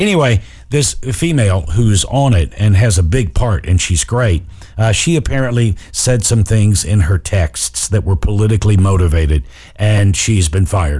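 A man with a fairly low, somewhat breathy voice and a dark, mellow tone speaks at a moderate pace with lively intonation and very even loudness. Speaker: radio host. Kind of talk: casual comedic radio show banter. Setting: studio. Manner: sarcastic, joking.

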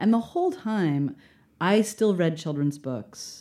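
Lively intonation and a dark, mellow tone mark this American-accented voice at a moderate pace in a very clean recording with a silent background. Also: woman. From Baltimore, US. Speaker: children's book author and poet. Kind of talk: casual chat.

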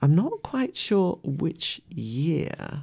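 The recording is very clean with a silent background. A woman speaks in a dark, mellow, gentle and warm tone. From West Midlands, England. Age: 80s+. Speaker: radio presenter and poet. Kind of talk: reading poems aloud between personal stories. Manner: gentle, warm, reflective storytelling with soft laughs; poem delivery: measured, expressive, rhythmic reading with a prayerful tone.

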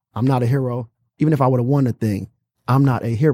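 A man talks very fast in a dark, mellow tone that is somewhat breathy. The recording is very clean with a silent background, and the sound is dry and close with no echo. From Detroit. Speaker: youth boxing gym founder. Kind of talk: casual interview.

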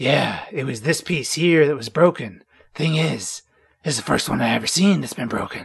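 A man does a put-on character voice at a fairly high pitch. It sounds raspy and moves at a moderate pace. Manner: creepy.

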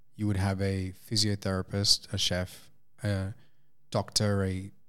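A man with an Australian accent speaks at a fairly slow pace in a fairly low voice. The recording is very clean, with a silent background. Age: 20s. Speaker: integrative health practitioner. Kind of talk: casual chat.

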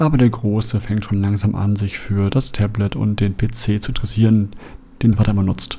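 A man has a normal speaking voice with a fairly low pitch. He talks at a moderate pace with fairly even intonation. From Germany, Essen (Ruhr area). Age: 40s. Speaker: podcast host. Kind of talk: monologue podcast introduction.

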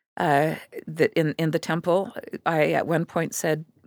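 A woman speaks with a very deep, low pitch and vocal fry. The recording is very clean, with a silent background. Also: long, frequent pauses, dry, close sound with no echo. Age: 60s. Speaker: writer and documentary filmmaker. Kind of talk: interview.

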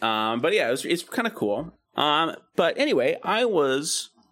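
A man speaks with vocal fry. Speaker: podcast co-host. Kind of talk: casual chat.

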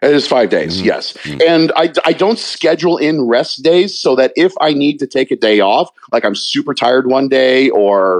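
In a plain, everyday voice, a man with an American accent speaks at a fairly high pitch and a moderate pace with lively intonation, very even loudness and hardly any pauses, in a dry, close sound with no echo. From Virginia, Newport News. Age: 50s. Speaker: talk radio co-host and bodybuilder. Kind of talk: casual chat.

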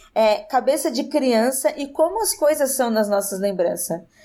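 In a very clean recording with a silent background, a woman speaks at a fairly slow pace with a dark, mellow tone and lively intonation. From interior of São Paulo state, Brazil. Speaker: podcaster. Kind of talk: casual chat.

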